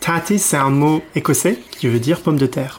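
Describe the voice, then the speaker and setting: This man's voice sits fairly high in pitch, with ordinary pitch variation. He talks at a moderate pace. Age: 30s. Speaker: expat guest sharing home cuisine. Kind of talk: casual interview. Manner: halting, many fillers.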